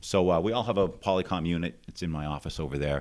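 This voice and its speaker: Speaking very fast in an American accent, a man has a very deep, low pitch and vocal fry. His pitch varies in an ordinary way, and the recording is very clean with a silent background. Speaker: district judge. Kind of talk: casual interview. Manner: fluent storyteller.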